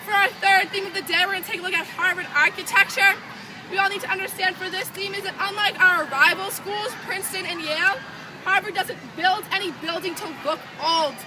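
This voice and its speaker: The speaker talks at a fairly quick pace with an American accent. Crowd noise fills the background. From Boston area, US. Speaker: student tour guide. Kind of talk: guided campus tour.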